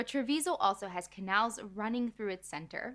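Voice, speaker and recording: In a very clean recording with a silent background, a bright, sharp voice with an American accent moves at a moderate pace with lively intonation. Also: woman. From United States. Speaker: food writer and chef. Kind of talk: scripted narration.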